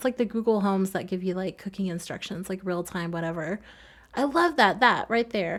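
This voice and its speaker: A soft-spoken woman with an American accent and ordinary pitch variation, in a very clean recording over a silent background. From US South. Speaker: gaming video creator. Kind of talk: casual voiceover commentary. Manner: fast.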